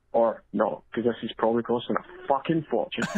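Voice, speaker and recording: Speaking fairly quickly with a Scottish accent, a man uses a medium pitch and ordinary pitch variation. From Scotland. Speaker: caller leaving a voicemail, drone pilot. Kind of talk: voicemail message.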